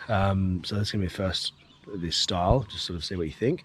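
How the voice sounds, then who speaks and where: The voice is quiet, with an Australian accent. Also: man. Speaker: outdoor cooking vlogger. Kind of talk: casual vlog. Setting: outdoors at a campsite.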